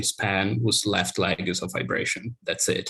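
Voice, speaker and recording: The background is quiet. A man speaks in a bright, sharp tone. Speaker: academic researcher. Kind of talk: lecture. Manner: fast.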